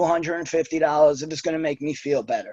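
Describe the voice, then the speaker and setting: A man speaks with a New York accent. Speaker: network marketer with Wall Street job. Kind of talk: testimony. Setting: video call.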